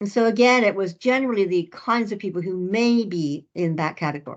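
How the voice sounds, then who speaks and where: A woman with a Canadian accent at a moderate pace, ordinary pitch variation, and a quiet background. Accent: Canadian, noticeable. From Canada. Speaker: professor, researcher. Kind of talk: lecture.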